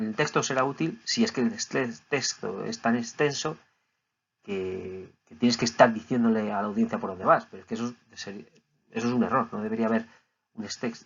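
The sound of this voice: A man's fairly low voice with vocal fry, a slightly husky edge, ordinary pitch variation and a moderate pace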